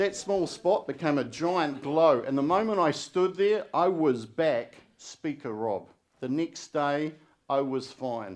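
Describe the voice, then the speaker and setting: Here a man talks at a very slow pace. His pitch is fairly high, and his intonation is lively. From New Zealand, Wellington. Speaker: public speaking contestant. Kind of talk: contest speech. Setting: stage with audience. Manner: stutters in daily life, not on stage.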